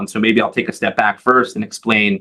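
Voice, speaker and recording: With a New York accent, a man speaks at a medium pitch. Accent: New York American English. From US Northeast, Long Island, New York. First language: Hebrew. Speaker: advocacy organization leader. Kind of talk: interview. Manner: halting, many fillers and repeated words.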